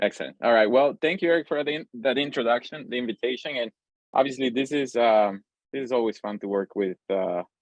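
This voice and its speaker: A man's medium-pitched voice with a Spanish accent, ordinary pitch variation and a fairly quick pace. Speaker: pediatric cardiac intensivist, lecturer. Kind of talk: lecture. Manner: fast; hesitant with fillers.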